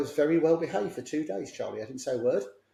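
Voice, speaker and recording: Somewhat breathy male voice with a London accent, a dark, mellow tone and fairly even intonation. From south London, England. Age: 60s. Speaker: clinical psychologist. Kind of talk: podcast interview.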